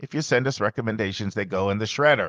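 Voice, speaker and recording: A man at medium pitch with ordinary pitch variation, very fast, in a dry, close sound with no echo. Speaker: podcast host. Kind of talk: casual chat. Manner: animated.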